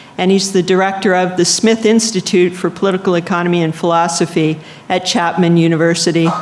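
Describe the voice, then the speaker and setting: Against noticeable background noise, a woman with medium pitch talks at a moderate pace. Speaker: conference session chair. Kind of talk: speaker introduction.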